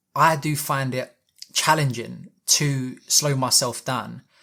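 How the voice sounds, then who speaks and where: With a British accent, a man speaks in a fairly high pitch and a bright, sharp tone on a very clean recording with a silent background. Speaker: personal development youtuber. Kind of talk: talking-head advice video. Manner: fast; slightly mumbled when rushing.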